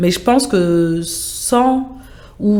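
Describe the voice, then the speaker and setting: A woman speaks over noticeable background noise. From France, Sevran (Seine-Saint-Denis). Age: 40s. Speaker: project manager in international relations. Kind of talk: interview conversation.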